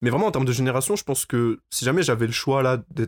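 A man's unremarkable speaking voice, medium pitch, ordinary pitch variation, dry, close sound with no echo, in a very clean recording with a silent background. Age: 20s. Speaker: campus radio host. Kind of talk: casual chat.

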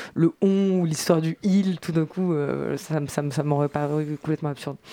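A woman with a very deep, low voice and a dark, mellow tone speaks at a fairly slow pace with fairly even intonation, the sound dry and close with no echo. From France, Bourges (Cher). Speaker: singer. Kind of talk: interview. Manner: halting, many repetitions.

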